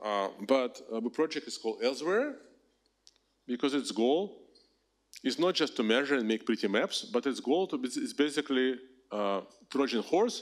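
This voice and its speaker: Very clean, with a silent background, this recording has a man with a Russian accent at a moderate pace. His fairly high pitch makes very wide swings. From Russia, Moscow. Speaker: professor. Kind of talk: lecture. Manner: animated.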